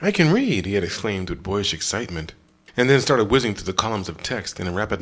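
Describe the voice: The intonation moves in a lively way. What we hear is plain reading aloud.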